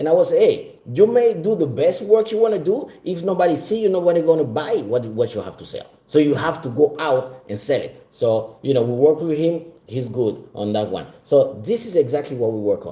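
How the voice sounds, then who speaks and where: A man's fairly high pitch in a dark, mellow tone with vocal fry, very wide pitch swings, big swings in loudness, a moderate pace and hardly any pauses. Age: 40s. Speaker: business mentor. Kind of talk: sales pitch.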